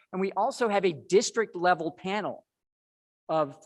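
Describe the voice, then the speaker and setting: The background stays quiet as a man speaks, his pitch varying in an ordinary way. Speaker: education researcher, lecturer. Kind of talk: lecture. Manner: fast.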